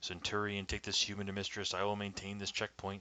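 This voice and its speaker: Doing a put-on character voice, a man talks in a flat monotone at a fairly low pitch. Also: fairly quick pace. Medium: read story. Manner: terse, commanding.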